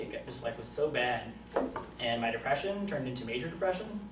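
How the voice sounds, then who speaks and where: Lively intonation marks this man's speech, heard with audible room echo and noticeable background noise. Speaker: college student. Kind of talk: class speech. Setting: classroom with audience. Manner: halting.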